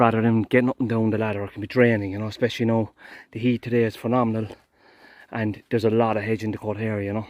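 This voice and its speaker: Over a quiet background, a man with an Irish accent and medium pitch speaks very fast in a flat monotone. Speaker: gardener. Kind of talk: work vlog narration. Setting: outdoors.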